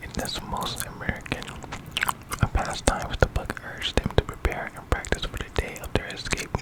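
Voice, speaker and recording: Whispering at a moderate pace, a man speaks against noticeable background noise. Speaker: ASMR creator. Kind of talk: true crime story reading while chewing gum.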